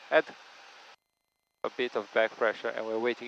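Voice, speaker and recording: Recorded with a dry, close sound and no echo, a man speaks with a non-native accent. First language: not English. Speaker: flight instructor. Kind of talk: in-flight instruction. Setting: small plane cockpit.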